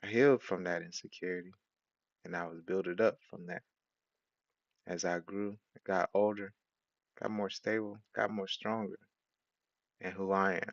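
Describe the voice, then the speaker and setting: Long, frequent pauses mark a man's speech at a moderate pace. His pitch is fairly low and his intonation fairly even. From Haiti. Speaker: preacher. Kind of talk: sermon.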